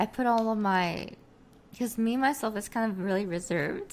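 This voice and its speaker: A woman speaks in a Korean accent at a moderate pace. Her fairly high voice has lively intonation. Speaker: streamer and virtual avatar creator. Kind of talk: interview. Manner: halting, many fillers.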